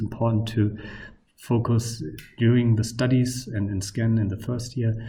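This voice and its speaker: Noticeable background noise and audible room echo around a man with a non-native accent, medium in pitch at a moderate pace. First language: not English. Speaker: university lecturer. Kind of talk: lecture. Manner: hesitant, many fillers.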